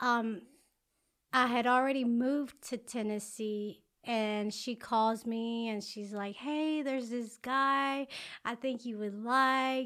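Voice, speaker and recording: A woman at a very slow pace, high-pitched, with a bright, sharp tone and fairly even intonation, on a very clean recording with a silent background. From Alabama (Talladega), born in Mexico. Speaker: rapper's wife. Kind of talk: casual interview.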